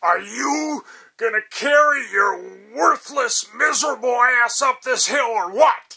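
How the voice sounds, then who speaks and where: In a put-on character voice pitched extremely high, a man talks fairly slowly. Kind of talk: crude, insulting. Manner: barking, harsh.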